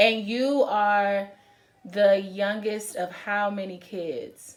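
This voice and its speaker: A woman at a very slow pace. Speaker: interviewer. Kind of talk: casual interview questions.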